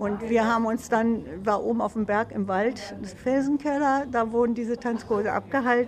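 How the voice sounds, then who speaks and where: The speech moves at a moderate pace with hardly any pauses and fairly even intonation. Noticeable background noise runs underneath. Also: woman. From Hameln, Lower Saxony, northern Germany. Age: 80s. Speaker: senior amateur dancer interviewee. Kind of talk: interview, reminiscing.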